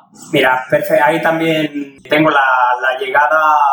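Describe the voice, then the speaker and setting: Speech unfolds at a moderate pace. Intonation stays monotone and flat. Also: man. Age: 40s. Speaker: race announcer. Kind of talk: interview.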